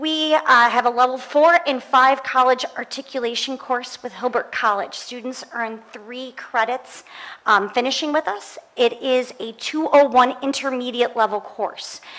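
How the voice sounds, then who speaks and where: A woman with a high-pitched voice speaks with big swings in loudness. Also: fairly slow pace. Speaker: French teacher and department chair; teacher presenting to school board. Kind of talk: presentation. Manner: lively. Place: meeting room. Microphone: podium.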